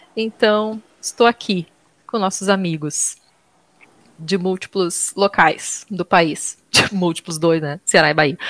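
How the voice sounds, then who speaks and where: Dry and close with no echo, a woman's medium-pitched voice moves at a very slow pace with ordinary pitch variation. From southern Brazil (Porto Alegre, Rio Grande do Sul). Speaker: podcast host. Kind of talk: casual chat.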